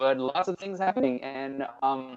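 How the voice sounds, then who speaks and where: A man with a Portuguese accent, fairly even intonation and a moderate pace. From Brazil. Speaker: music producer. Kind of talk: casual interview. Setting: live stream from home studio. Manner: halting with fillers. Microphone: echo.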